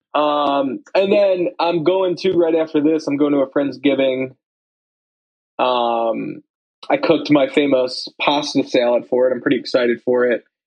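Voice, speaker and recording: With an unremarkable speaking voice, a man talks at a fairly slow pace, his pitch fairly high and varying in an ordinary way. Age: 20s. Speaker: podcast co-host. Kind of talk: casual chat.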